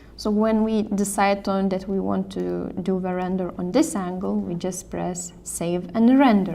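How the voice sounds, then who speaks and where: A woman with a non-native accent and a dark, mellow tone talks at a fairly slow pace with hardly any pauses. Audible room echo surrounds her voice. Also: medium pitch for a woman. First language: not English. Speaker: software tutorial presenter, design support staff. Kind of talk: tutorial. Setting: screen recording or live stream. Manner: halting, with fillers and self-corrections.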